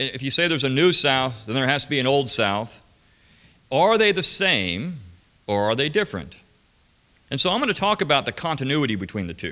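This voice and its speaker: Vocal fry runs through this man's voice. He speaks fairly quickly. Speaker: conference lecturer. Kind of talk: lecture. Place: hall. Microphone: podium.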